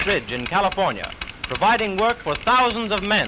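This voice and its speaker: A man's raised, projected voice, high in pitch with ordinary pitch variation, at a fairly quick pace amid noticeable background noise. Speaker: newsreel narrator. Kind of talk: newsreel narration.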